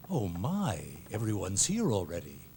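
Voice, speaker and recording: A man puts on a character voice, fairly low in pitch, at a moderate pace against clear background noise. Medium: fan dub. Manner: soft, courteous.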